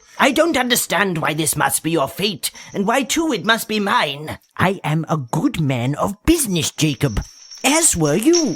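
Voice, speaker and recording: Putting on a character voice, a man speaks in a high pitch with very wide pitch swings. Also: moderate pace. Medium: audio drama. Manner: curt, scornful, grows nervous.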